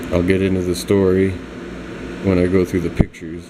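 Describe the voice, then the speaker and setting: A man with a very deep, low voice speaks over noticeable background noise. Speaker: vlogger showing his tattoos. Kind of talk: casual vlog monologue.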